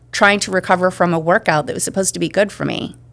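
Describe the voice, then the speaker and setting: A woman's medium-pitched voice with vocal fry and fairly even intonation. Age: 50s. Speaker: menopause expert. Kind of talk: interview. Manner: casual, conversational.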